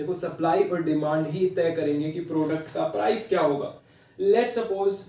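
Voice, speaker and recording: A man speaks at a fairly slow pace, his tone dark and mellow. Room echo is audible. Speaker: online teacher. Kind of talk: lecture. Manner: code-switching Hindi-English, conversational; quiet, not speaking loudly.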